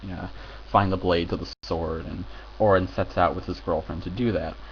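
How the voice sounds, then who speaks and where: Talking at a fairly quick pace, a man with an American accent has a very deep, low pitch and vocal fry. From United States. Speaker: film reviewer. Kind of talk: casual video review. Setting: home recording with headphones. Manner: halting, many fillers.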